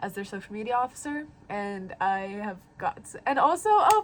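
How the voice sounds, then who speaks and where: The speaker here is a woman. She talks with a fairly high pitch. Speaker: college student vlogger. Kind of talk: casual vlog monologue. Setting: dorm room. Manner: fast; rambling with fillers.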